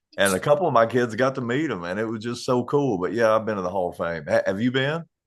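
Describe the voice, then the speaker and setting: Against a quiet background, a man of medium pitch speaks with an Eastern Kentucky accent and lively intonation. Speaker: country musician. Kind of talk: casual chat.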